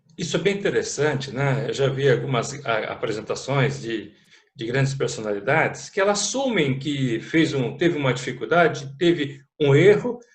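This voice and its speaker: This voice is somewhat breathy. Its intonation is lively. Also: man, fairly high pitch for a man, moderate pace. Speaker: interviewer, channel host. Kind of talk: interview questions, casual talk.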